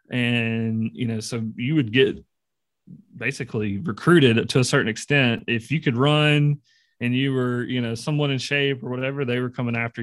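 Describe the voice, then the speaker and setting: A man with a Southern US accent, a medium pitch, and fairly even intonation. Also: very clean recording, silent background. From Mississippi. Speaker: podcast co-host. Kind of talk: casual interview.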